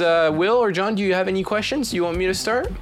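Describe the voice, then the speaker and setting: A man talks with a high pitch and lively intonation. Noticeable background noise runs behind him. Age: 20s. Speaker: student radio show host. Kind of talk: casual chat. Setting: studio. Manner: halting.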